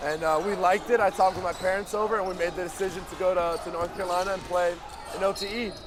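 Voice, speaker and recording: Amid noticeable background noise and audible room echo, a man with an American accent speaks very fast. His pitch is high and his intonation monotone and flat. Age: young (18). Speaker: basketball player. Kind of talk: casual interview. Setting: live event courtside with loud crowd.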